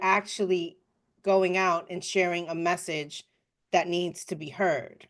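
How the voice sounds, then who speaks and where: A woman's very slow delivery. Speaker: podcast co-host. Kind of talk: casual chat.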